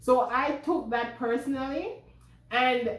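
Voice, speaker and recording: A woman with a Jamaican accent talks very slowly at a high pitch, with audible room echo. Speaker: vlogger. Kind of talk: personal vlog storytelling.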